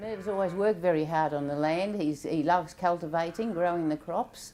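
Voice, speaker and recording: In an Australian accent, a woman with a dark, mellow tone speaks at a fairly low pitch and fairly quick pace with fairly even intonation. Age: 70s. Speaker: dairy farmer. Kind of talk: interview. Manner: halting.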